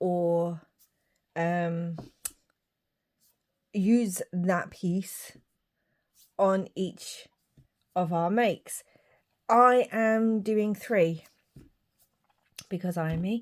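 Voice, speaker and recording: The speaker has a British accent and fairly even intonation, talking at a very slow pace with long, frequent pauses. The recording is very clean and the background silent. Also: woman, medium pitch for a woman. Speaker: craft youtuber. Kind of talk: craft tutorial.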